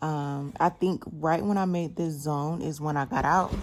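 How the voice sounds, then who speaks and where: Very deep, low pitch from a woman, with ordinary pitch variation. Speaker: day trader. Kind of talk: tutorial.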